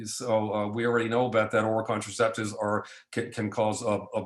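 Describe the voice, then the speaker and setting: A man's voice with audible room echo. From New Jersey. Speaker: physician lecturer on lab testing. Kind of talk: lecture. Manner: fast; halting, many repetitions and fillers.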